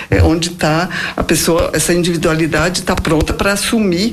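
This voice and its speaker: A woman with a fairly low pitch speaks at a fairly slow pace. Audible room echo surrounds her voice. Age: 60s. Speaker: biographical counselor. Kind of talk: interview. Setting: live internet radio talk show.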